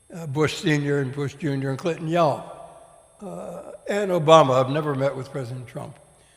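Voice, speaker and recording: A man's fairly high voice with ordinary pitch variation and big swings in loudness, at a moderate pace, with audible room echo and noticeable background noise. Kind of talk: on-stage interview.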